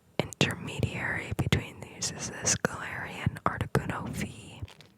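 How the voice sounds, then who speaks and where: Whispering in a relaxed tone at a fairly slow pace, the speaker is heard over noticeable background noise. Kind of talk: ASMR whisper video, casual talk to camera while sorting cards. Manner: soft, quiet, relaxed.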